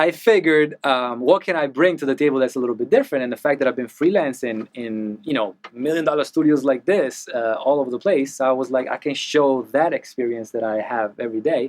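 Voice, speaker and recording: With an Italian accent, a man speaks at medium pitch and a fairly quick pace. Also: ordinary pitch variation. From Italy. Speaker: mixing engineer. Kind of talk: casual interview chat. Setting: recording studio. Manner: animated, talks with hands.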